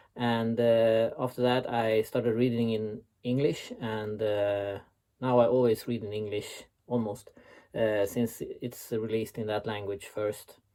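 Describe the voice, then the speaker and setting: With a Swedish accent, a man speaks at a medium pitch in a dark, mellow tone. His pace is fairly slow and his intonation monotone and flat. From Sweden. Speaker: website founder and author. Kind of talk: recorded interview answers. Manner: hesitant, many filler sounds.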